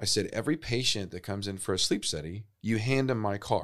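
Speaking at a fairly quick pace, a man with a fairly low pitch shows ordinary pitch variation. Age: 40s. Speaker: sleep center executive and musician. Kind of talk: casual interview. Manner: halting.

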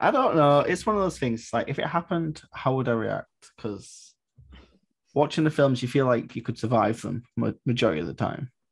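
Recorded very cleanly with a silent background, a man speaks at a medium pitch and a moderate pace. His voice is somewhat breathy, with lively intonation. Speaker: podcast host. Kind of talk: casual chat.

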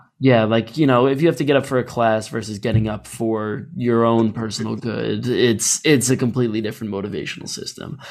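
In a normal speaking voice, a man talks at a medium pitch and a fairly quick pace. He takes hardly any pauses, and his pitch varies in an ordinary way. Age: 20s. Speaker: podcast host. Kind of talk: casual interview chat.

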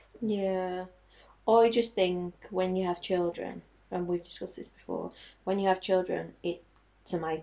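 Talking at a fairly slow pace, a woman keeps her medium pitch on fairly even intonation. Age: 30s. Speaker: podcast co-host. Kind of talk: casual chat.

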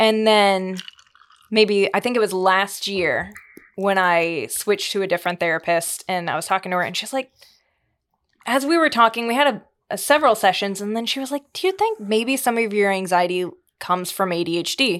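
At a fairly quick pace, a woman talks in a normal speaking voice, medium in pitch with ordinary pitch variation. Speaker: youth facility counselor. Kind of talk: casual chat.

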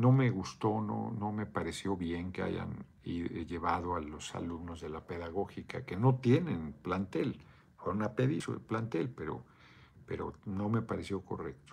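A man speaks at a fairly slow pace in a very deep, low voice with vocal fry and lively intonation. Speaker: political livestreamer. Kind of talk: live video chat reading comments. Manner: casual, profane.

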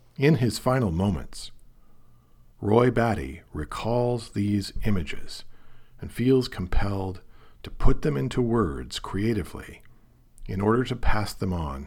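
Somewhat breathy and at a fairly slow pace, the speaker talks with an American accent. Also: man. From US Pacific Northwest, Portland, Oregon. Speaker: film critic and novelist. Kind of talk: monologue podcast essay.

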